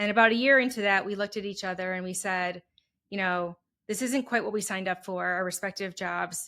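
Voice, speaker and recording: With a Wisconsin accent, a woman talks at a fairly quick pace in a bright, sharp tone, on a very clean recording with a silent background. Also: medium pitch for a woman, fairly even intonation. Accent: Wisconsin, nasal. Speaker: HR consultant, entrepreneur. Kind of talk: interview.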